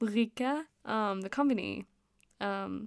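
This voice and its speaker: A woman with a slight Danish accent at a very slow pace, in a very clean recording with a silent background. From Denmark. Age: 20s. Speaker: podcast host. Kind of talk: casual monologue. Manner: frequent laughter and filler words.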